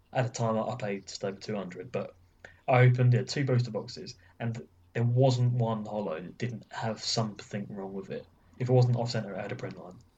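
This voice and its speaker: A somewhat breathy man with an English accent, medium pitch, fairly even intonation, a moderate pace and big swings in loudness. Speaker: podcast co-host. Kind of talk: casual chat.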